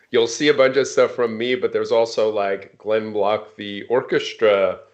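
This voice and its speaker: A man with an American accent at a moderate pace over a quiet background. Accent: New York under a semi-West Coast. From New York, Long Island. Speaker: software product leader. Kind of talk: casual interview chat. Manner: many filler words.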